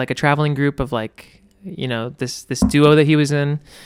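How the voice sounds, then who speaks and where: A man speaks with a Californian accent at a fairly high pitch. The recording is very clean, with a silent background. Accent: Californian American. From Northern California (El Dorado Hills, near Sacramento). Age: 20s. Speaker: photographer and musician. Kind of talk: casual chat.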